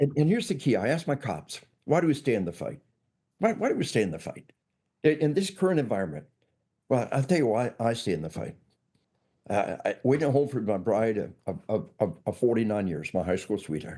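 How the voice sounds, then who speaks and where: A man with a dark, mellow tone and vocal fry swings very widely in pitch, leaving long, frequent pauses. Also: medium pitch for a man, fairly quick pace. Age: 60s. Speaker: law enforcement trainer and author. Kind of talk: interview. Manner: repetitive stammering restarts; emphatic.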